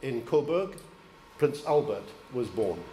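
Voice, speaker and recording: Speaking at a fairly slow pace with lively intonation, a man with a southern English accent is heard amid audible room echo and noticeable background noise. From Isle of Wight, England. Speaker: deputy lord lieutenant. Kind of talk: formal ceremonial speech. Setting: town hall reception with audience. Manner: formal.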